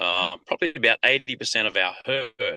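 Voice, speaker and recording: A man's voice has a bright, sharp tone. The sound is dry and close with no echo, over a quiet background. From Australia. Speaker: country singer and cattle rancher. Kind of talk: interview.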